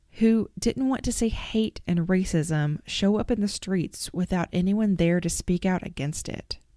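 Someone with a Southern US accent speaks at a fairly slow pace in a dark, mellow tone, with ordinary pitch variation. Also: woman. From Arkansas. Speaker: podcast host. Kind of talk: interview conversation.

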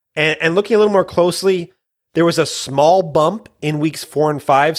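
A man speaks at a moderate pace, his pitch fairly high, with ordinary pitch variation. It is an ordinary speaking voice. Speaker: fantasy football podcast co-host. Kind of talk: casual banter, fantasy football talk. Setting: recording late at night. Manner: excitable, jokey.

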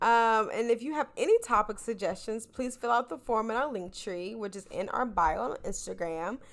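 A woman with a high-pitched voice and lively intonation, recorded very cleanly against a silent background. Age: 20s. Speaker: podcast co-host. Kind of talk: casual chat.

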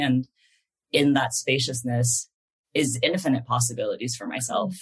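A medium-pitched man with a Californian accent at a moderate pace. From San Francisco Bay Area, East Bay. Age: 20s. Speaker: poet and workshop leader. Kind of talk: interview. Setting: video call. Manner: halting.

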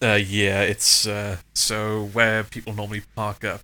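Bright and sharp in tone, a man speaks with a Welsh accent at a fairly low pitch. He goes at a fairly slow pace on a very clean recording with a silent background. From Wales, South Wales. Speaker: aviation photographer. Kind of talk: casual interview chat.

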